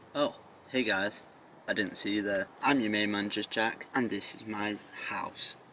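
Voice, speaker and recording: A man talks at a fairly slow pace, his pitch medium. Noticeable background noise runs under the voice. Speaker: youtuber. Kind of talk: vlog. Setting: outdoors. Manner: whispering.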